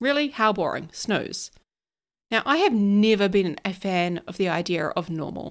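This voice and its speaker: Speaking in an American accent, a woman uses lively intonation at a medium pitch and moderate pace. The recording is very clean, with a silent background. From New Zealand. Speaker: podcast host and ADHD coach. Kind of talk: solo podcast monologue.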